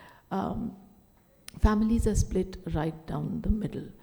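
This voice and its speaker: Her dark, mellow tone carries vocal fry as the woman talks at a moderate pace with ordinary pitch variation. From India, Delhi. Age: 60s. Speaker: writer and speaker. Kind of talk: conference talk.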